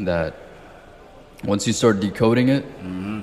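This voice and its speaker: The man has a fairly low pitch and a plain, everyday voice. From outside the US (moved at 12). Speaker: podcast host. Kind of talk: casual interview chat.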